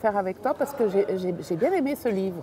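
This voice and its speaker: Fairly quick speech from a woman at a medium pitch, with very wide pitch swings and noticeable background noise. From Italy, emigrated to Switzerland. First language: Italian (speaking French). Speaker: novelist. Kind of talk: casual chat.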